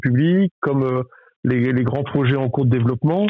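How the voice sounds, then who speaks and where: The speaker is a man. His pitch is medium. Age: 30s. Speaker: volleyball club general manager, former pro player. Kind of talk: interview. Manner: hesitant, many fillers and repetitions.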